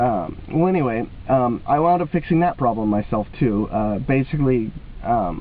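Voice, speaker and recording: Lively intonation carries this voice at a moderate pace over noticeable background noise. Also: man. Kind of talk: casual talk to camera. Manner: hesitant, many filler words.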